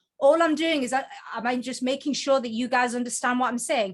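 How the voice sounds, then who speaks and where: In a very clean recording with a silent background, a high-pitched woman speaks fairly quickly in a Geordie accent with ordinary pitch variation. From northern England, Newcastle (Geordie). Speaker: book coach and author. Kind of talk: presentation. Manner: fast; animated.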